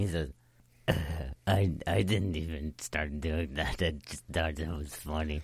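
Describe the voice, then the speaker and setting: A man's put-on character voice, very deep and low-pitched, at a fairly slow pace. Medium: actual play. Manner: blunt, casual.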